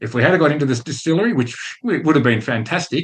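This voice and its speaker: A man is speaking. His pace is very fast. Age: 60s. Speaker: podcast host. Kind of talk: casual monologue with business lesson.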